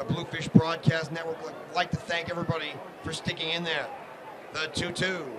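Noticeable background noise sits behind this man. He talks at a high pitch and a fairly quick pace in an energetic tone. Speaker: sports broadcaster. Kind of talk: live baseball play-by-play commentary. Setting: live stream from ballpark broadcast. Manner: fast, rhythmic, energetic play-by-play delivery.

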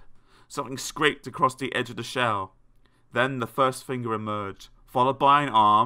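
A natural read-aloud voice with ordinary variation in pitch

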